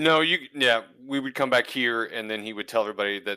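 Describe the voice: What you hear is plain reading aloud.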